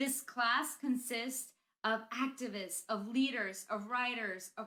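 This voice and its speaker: A woman speaks with a Spanish accent at a fairly slow pace. Her fairly high voice has a bright, sharp tone and ordinary pitch variation. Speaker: school principal. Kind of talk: graduation speech.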